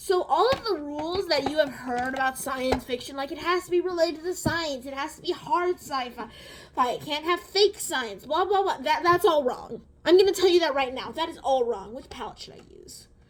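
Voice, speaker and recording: Over noticeable background noise, a woman speaks at a moderate pace with a high pitch. Her intonation is lively, and her loudness swings a lot. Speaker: beauty and book vlogger. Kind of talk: casual chat while doing makeup. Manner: halting, stuttering.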